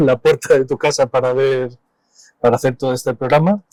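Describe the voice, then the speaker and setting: Fairly high in pitch, a man talks fairly quickly in a normal speaking voice with fairly even intonation. The sound is dry and close with no echo. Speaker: radio host. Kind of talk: radio interview.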